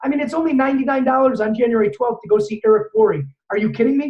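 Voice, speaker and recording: A loud man talks at a very fast pace with an extremely high pitch and ordinary pitch variation. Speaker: network marketing trainer. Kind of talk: motivational training talk.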